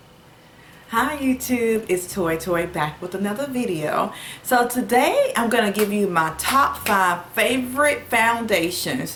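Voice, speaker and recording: Speaking very slowly in a Southern US accent, a woman with a fairly high pitch uses lively intonation amid noticeable background noise and audible room echo. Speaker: beauty vlogger. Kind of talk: product review. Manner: casual, many filler words.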